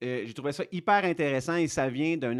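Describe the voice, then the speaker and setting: A man talks with a Quebec accent. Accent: Québécois. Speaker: fitness coach. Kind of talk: casual educational talk. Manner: hesitant, many fillers.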